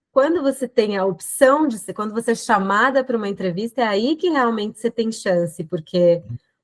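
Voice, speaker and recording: A woman's unremarkable speaking voice, fairly high in pitch with lively intonation, hardly any pauses, and a dry, close sound with no echo. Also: moderate pace. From Brazil. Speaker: lawyer. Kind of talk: interview.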